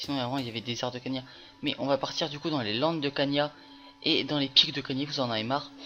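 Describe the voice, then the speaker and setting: Music can be heard behind the voice. A man speaks very fast. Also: fairly even intonation. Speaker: gaming youtuber. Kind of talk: gameplay tutorial. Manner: halting, many fillers.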